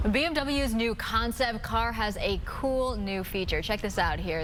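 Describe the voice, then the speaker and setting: A woman's fairly high voice at a moderate pace, lively in intonation, with music in the background. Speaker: TV news anchor and reporter. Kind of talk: TV news anchor read.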